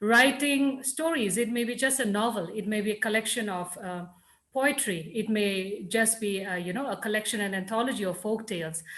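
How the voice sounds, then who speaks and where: With a Nagaland accent, a woman speaks at a fairly high pitch. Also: ordinary pitch variation, moderate pace. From Nagaland, India. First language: Lotha. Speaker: writer and scholar. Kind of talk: panel discussion answer.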